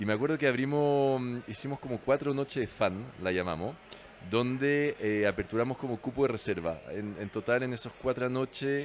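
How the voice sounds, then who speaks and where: A man speaks in a medium pitch with a French accent. His pace is moderate and his pitch varies in an ordinary way. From France. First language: French (speaking Spanish). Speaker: restaurant manager. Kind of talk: casual interview. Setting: bar. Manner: halting, repeats words.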